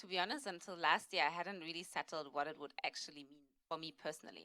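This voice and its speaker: A woman speaks with a German accent in a bright, sharp tone. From Germany, Berlin. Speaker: panelist. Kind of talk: panel discussion.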